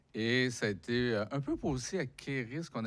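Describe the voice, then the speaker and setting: A man with a Quebec accent and lively intonation. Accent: Québécois French. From Quebec, Abitibi (Rouyn-Noranda). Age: 60s. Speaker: author and unemployment activist. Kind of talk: public talk interview. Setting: lecture hall with audience.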